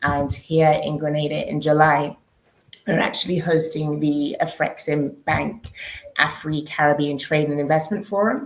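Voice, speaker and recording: At a fairly slow pace, a woman with a British accent speaks in a very deep, low pitch with ordinary pitch variation. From UK. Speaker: diaspora relocation organizer. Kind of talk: panel discussion.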